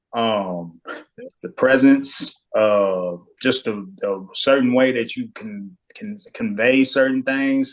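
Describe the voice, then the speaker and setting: Speaking with lively intonation, a man has a medium-pitched voice. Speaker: podcast co-host. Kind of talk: casual discussion. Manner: passionate, confident.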